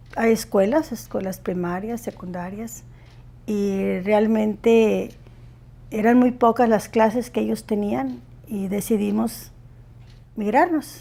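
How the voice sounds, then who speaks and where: A woman with a Mexican accent, medium pitch and a dark, mellow tone, at a fairly slow pace with ordinary pitch variation and long, frequent pauses. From Mexico, Baja California. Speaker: student's parent. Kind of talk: interview.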